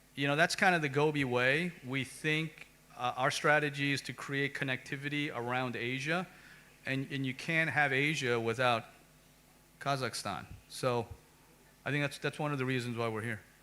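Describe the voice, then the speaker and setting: A bright, sharp tone with fairly even intonation and long, frequent pauses, in an American accent. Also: man, fairly high pitch for a man, moderate pace. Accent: American, self-noted. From United States. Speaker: venture capital investor. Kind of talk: panel discussion. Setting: conference stage with audience.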